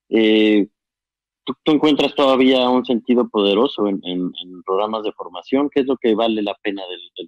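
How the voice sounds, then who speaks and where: In a Mexican accent, a man talks at a fairly low pitch with ordinary pitch variation. His loudness swings widely. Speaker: documentary filmmaker, interviewer. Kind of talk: casual chat.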